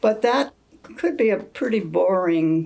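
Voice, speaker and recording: Speaking very slowly, a woman uses lively intonation. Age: 80s+. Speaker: grandmother telling family history. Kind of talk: casual reminiscing about family photos. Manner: elderly, slow.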